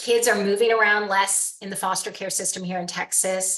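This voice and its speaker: At a moderate pace, a woman uses an unremarkable speaking voice and fairly even intonation. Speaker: nonprofit fundraiser. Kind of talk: practice donor pitch; casual chat.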